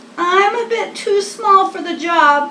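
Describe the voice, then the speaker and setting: Putting on a squeaky character voice at an extremely high pitch, a woman speaks at a fairly slow pace. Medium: read story.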